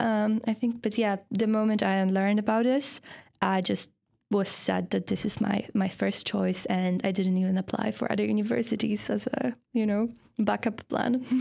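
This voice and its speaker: A speaker with a Polish accent moves at a moderate pace, with fairly even intonation and very even loudness in a very clean recording with a silent background. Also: woman, medium pitch for a woman. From Poland. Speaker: university student and feminist. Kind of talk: casual interview chat.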